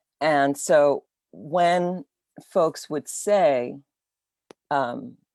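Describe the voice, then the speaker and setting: A woman's very deep, low voice comes through with a dry, close sound and no echo. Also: lively intonation. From Virgin Islands, St. Croix. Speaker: dancer and choreographer. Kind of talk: conversation over video call. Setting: video call. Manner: halting, many fillers.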